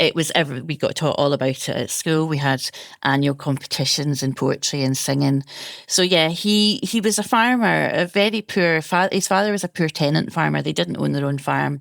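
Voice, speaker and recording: With a Scottish accent, a woman speaks at a very deep, low pitch and a moderate pace. Her intonation is lively and her loudness very even. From Scotland, Ayrshire. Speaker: food historian. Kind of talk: interview.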